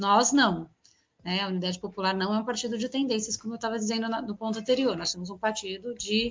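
Somewhat breathy, a woman speaks at a very fast pace with fairly even intonation. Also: fairly high pitch for a woman. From São Paulo city, east zone periphery. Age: 40s. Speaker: politician. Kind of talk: interview.

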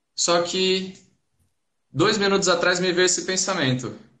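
A man talks at a moderate pace in a bright, sharp tone. Audible room echo colors the recording. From Santos, São Paulo state, Brazil. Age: 20s. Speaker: debate participant. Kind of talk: online live debate.

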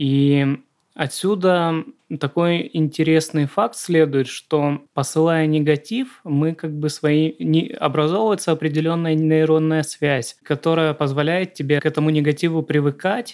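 Using an unremarkable speaking voice, a man talks at a fairly slow pace and fairly high pitch with fairly even intonation. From Southern Russia. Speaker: screenwriter, podcast co-host. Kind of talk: casual chat.

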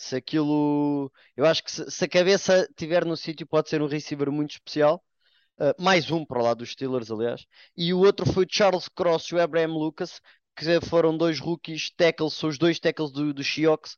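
At a moderate pace, a man with a European Portuguese accent speaks in a fairly high voice with fairly even intonation. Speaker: NFL commentator. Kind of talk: casual sports panel discussion.

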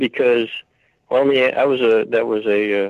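A man talks at a fairly slow pace. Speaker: caller. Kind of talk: rant about history and oaths. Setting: phone call.

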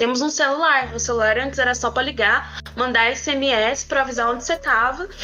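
Over noticeable background noise, a high-pitched woman talks at a fairly quick clip with hardly any pauses, fairly even intonation, and very even loudness. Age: 20s. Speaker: podcast co-host, communications agency entrepreneur. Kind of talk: casual chat.

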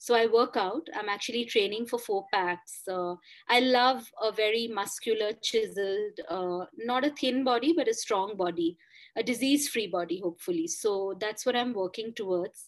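Speaking with a Bengali accent, a woman uses a fairly high pitch, ordinary pitch variation and a moderate pace against a quiet background. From India, Kolkata. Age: 40s. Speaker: author and columnist. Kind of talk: interview.

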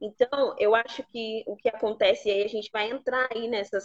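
Here is a woman with a normal speaking voice and a fairly high pitch. She talks at a fairly slow pace with ordinary pitch variation. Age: 20s. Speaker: pastor. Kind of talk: teaching talk in a live stream interview.

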